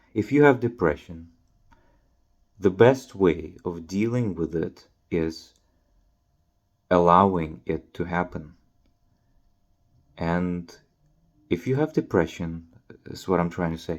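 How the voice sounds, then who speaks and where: A man speaks very slowly with a very deep, low pitch and ordinary pitch variation, leaving long, frequent pauses. The recording is very clean, with a silent background. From Ukraine. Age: 20s. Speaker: YouTuber. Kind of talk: casual monologue to camera. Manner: halting, many fillers.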